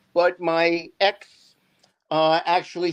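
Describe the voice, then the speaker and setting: In a New York accent, a man speaks at a high pitch against a quiet background. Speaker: divorced father, show guest. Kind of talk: interview. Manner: halting, many fillers.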